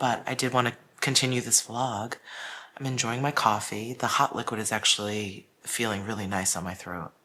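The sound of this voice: Quiet and hoarse, a man speaks in a put-on character voice at medium pitch. He keeps a moderate pace with fairly even intonation.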